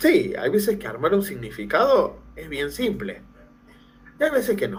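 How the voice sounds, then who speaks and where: Speaking at a fairly slow pace in an animated tone, a man is heard with audible room echo. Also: big swings in loudness. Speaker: teacher trainer, language lecturer. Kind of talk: lecture. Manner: animated, conversational.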